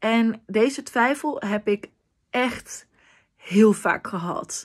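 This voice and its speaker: The pace is very slow, with ordinary pitch variation. A quiet background sits behind the voice. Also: woman. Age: 20s. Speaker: vlogger with a language disorder. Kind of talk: personal vlog monologue. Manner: halting, searching for words. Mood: earnest, heartfelt. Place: home room. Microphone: phone near.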